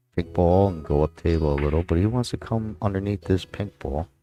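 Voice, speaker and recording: With a New York accent, a man speaks at a very deep, low pitch in a dark, mellow tone. His pace is moderate, with ordinary pitch variation. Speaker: pool commentator. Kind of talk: live commentary. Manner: casual, halting with fillers.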